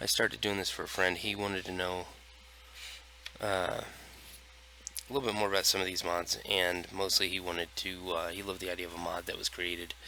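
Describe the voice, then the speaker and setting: Over noticeable background noise, the speech moves at a fairly quick pace with monotone, flat intonation and long, frequent pauses. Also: man, very deep, low pitch for a man. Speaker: gaming streamer. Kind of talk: gameplay commentary. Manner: near monotone.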